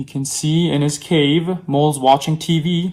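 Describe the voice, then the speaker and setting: With a Korean accent, a man speaks at a fairly high pitch and a fairly slow pace, keeping his intonation fairly even. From South Korea. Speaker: opera singer (tenor). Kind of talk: reading aloud a children's story. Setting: video stream from home. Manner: slow, clear storytelling for children.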